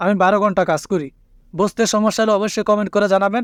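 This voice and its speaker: A man's high-pitched voice in a dry, close sound with no echo. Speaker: language teacher YouTuber. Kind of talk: tutorial.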